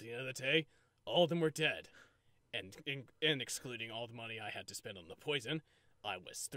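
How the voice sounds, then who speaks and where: Putting on a character voice, a man speaks at a fairly quick pace and medium pitch, broken by long, frequent pauses. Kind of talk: comic overacting. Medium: fan dub. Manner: smug, gleeful, callous.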